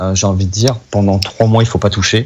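A man with a fairly low pitch speaks with fairly even intonation. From France, Lyon; France. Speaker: medical advisor for hair transplants; guest. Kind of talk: radio interview. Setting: remote call from Turkey. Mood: calm, explanatory. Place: home room. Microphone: video call.

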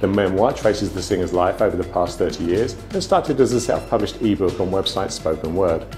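Over clear background music, the voice moves at a fairly quick pace with ordinary pitch variation. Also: man. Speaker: news presenter. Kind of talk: news bulletin presenter. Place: studio.

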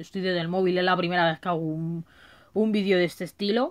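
This is a woman speaking. The background is quiet. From Madrid, Spain; Spain. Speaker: gaming YouTuber. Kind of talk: casual video monologue. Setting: home recording on a phone. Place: home room. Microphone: phone near.

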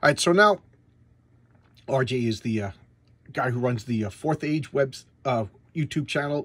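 A man talks with lively intonation. His voice is somewhat breathy. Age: 50s. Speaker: comic book reviewer. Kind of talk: casual monologue review. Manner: stammering, repeats words.

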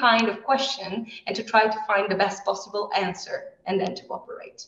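At a moderate pace, a woman with an Italian accent and a fairly high pitch speaks with ordinary pitch variation, with audible room echo over a quiet background. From Italy. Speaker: heritage scientist, postdoctoral researcher. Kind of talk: educational presentation. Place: classroom. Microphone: video call.

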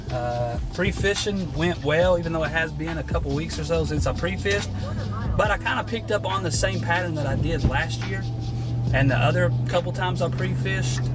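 With clear music playing behind him, a man talks at a fairly quick pace. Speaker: fishing vlogger. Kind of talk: casual vlog chat. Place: car. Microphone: phone near.

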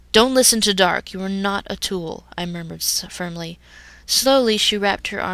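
The text is read aloud in a natural voice.

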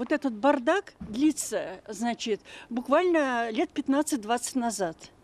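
A woman speaks at a fairly slow pace with lively intonation. Her fairly high voice has a slightly mellow tone.

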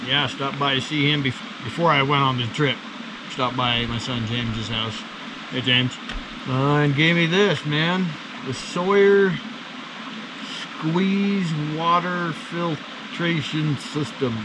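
A man speaks at a fairly slow pace with long, frequent pauses. Noticeable background noise runs behind him. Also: ordinary pitch variation. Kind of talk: casual vlog chat. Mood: relaxed, content. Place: forest.

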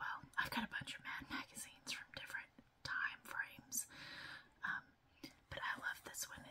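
Someone is whispering. The pace is moderate. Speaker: ASMR creator. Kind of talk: whispered ASMR magazine flip-through. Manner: whispered, soft-spoken.

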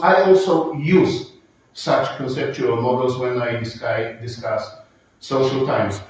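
Strong room echo surrounds this voice. It moves at a fairly slow pace with lively intonation. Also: man. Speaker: conference lecturer. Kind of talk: lecture. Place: hall.

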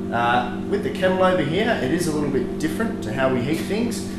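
Music plays in the background while a man speaks. The room echo is audible. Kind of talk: interview answer, equipment tour. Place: factory.

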